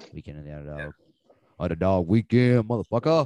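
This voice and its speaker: A man with a Southern US accent talks at a very fast pace, his tone dark and mellow with ordinary pitch variation. The sound is dry and close with no echo, over a quiet background. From Alabama. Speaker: sports betting podcast host. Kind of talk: casual chat. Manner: animated.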